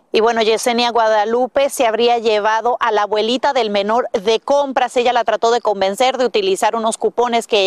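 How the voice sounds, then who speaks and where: A woman uses a plain, everyday voice with a fairly high pitch and fairly even intonation at a moderate pace. The sound is dry and close, with no echo. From Dominican Republic. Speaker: TV news reporter. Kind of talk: news report.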